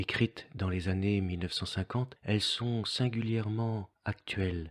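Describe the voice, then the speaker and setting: In an ordinary speaking voice, a man talks at a fairly slow pace with a fairly low pitch and fairly even intonation. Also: very clean recording, silent background. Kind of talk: devotional text reading.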